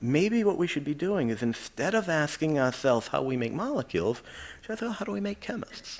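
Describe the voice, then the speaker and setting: This man, with an American accent, talks fairly quickly with hardly any pauses and very wide pitch swings over noticeable background noise. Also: fairly high pitch for a man. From Quincy, Massachusetts (Boston area). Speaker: chemistry professor. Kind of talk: lecture. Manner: conversational.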